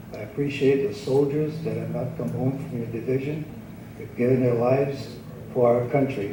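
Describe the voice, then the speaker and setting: A man talks at a moderate pace in a medium pitch with ordinary pitch variation, amid noticeable background noise and audible room echo. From Hawaii (Maui family). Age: 80s+. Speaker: military retiree. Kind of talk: public testimony.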